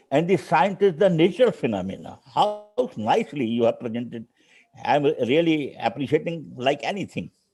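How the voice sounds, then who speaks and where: A man's fairly high voice in an Indian accent, with vocal fry, very wide pitch swings and a moderate pace. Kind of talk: conference remarks. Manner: halting.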